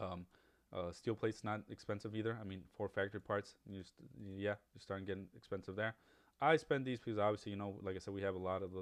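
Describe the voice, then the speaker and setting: A man talking at a very fast pace with fairly even intonation. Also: fairly low pitch for a man. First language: Spanish. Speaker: gaming YouTuber. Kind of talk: gameplay tutorial. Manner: casual, many fillers and restarts.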